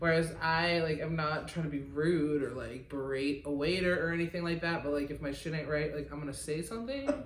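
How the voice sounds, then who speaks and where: A woman with a slight Midwestern accent, very deep and low in pitch, fairly quick and with hardly any pauses, fairly even in intonation, amid audible room echo and noticeable background noise. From US Midwest, outside Detroit. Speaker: podcast co-host, record label co-owner. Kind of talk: casual chat.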